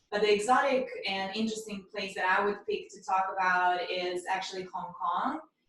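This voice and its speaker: In a Russian accent, a woman speaks at a medium pitch. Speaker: mindfulness and meditation coach. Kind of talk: casual podcast chat.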